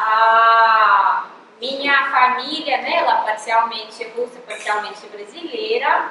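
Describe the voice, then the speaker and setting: The speaker talks very slowly with ordinary pitch variation. Noticeable background noise and audible room echo are present. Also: woman, fairly high pitch for a woman. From Russia, Moscow. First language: Russian (speaking Portuguese). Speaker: professor. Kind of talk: lecture.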